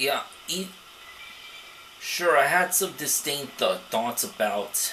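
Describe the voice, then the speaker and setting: Amid noticeable background noise and audible room echo, a man talks with lively intonation at a fairly high pitch. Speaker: let's play gamer. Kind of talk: gameplay commentary. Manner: soft-spoken; halting, frequent stammer.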